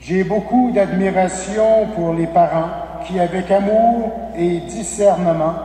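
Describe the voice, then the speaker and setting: Over noticeable background noise and audible room echo, a man talks at a very slow pace in a high pitch with ordinary pitch variation. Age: 60s. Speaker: priest. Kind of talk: sermon. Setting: church.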